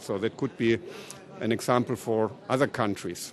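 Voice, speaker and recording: With a German accent, a man speaks at a medium pitch. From Germany. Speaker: politician. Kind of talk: panel discussion.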